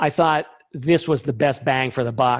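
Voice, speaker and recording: At a moderate pace, a man talks in an unremarkable speaking voice with a fairly high pitch. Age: 60s. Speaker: scientist, invited speaker. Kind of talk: Q&A session in a webinar talk. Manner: casual, with many fillers.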